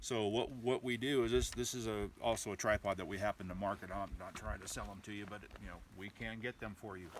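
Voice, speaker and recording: Fairly low in pitch, a man speaks with vocal fry and fairly even intonation. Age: 60s. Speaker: rifle stock maker. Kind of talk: product demonstration. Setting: outdoors. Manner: halting.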